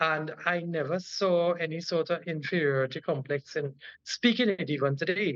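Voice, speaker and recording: At a moderate pace, a man in a Trinidadian accent speaks with a high pitch and ordinary pitch variation. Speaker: general practitioner and cultural activist. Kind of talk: interview.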